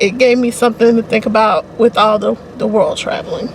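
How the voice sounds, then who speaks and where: There is noticeable background noise as a woman speaks at a fairly quick pace. Her voice is high-pitched, with monotone, flat intonation. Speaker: book reviewer. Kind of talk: casual talk to camera. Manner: conversational, hesitant.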